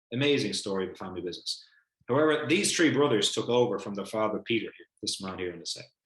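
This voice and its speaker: In an Irish accent, a man talks at a very fast pace. His medium-pitched voice has an animated tone. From Ireland. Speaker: family business educator. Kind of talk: online lecture. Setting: video call.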